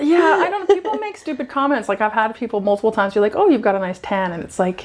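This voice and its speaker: A woman speaks at a very fast pace and a fairly high pitch. Her pitch swings very widely over noticeable background noise. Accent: American. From USA. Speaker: PhD researcher. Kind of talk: casual chat.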